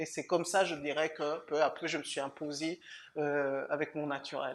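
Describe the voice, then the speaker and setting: A woman's very deep, low pitch holds a monotone, flat intonation in a very clean recording with a silent background. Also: moderate pace. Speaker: lawyer. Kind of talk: interview. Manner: halting, many repetitions.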